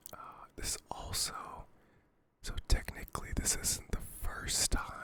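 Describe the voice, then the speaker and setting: The voice whispers at a fairly slow pace. Background noise is noticeable. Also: man. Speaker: ASMR creator. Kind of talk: casual chat, ASMR. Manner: whispered.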